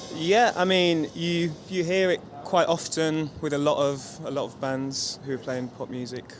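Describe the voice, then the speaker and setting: Fairly high-pitched male voice with ordinary pitch variation, at a fairly slow pace over background music. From London, England. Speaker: touring guitarist. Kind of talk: interview.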